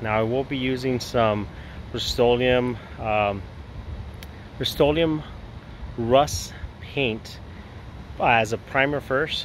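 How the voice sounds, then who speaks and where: Over light background noise, a man speaks with fairly even intonation and long, frequent pauses in a dry sound with no echo. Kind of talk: casual vlog chat. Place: garden. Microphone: phone near.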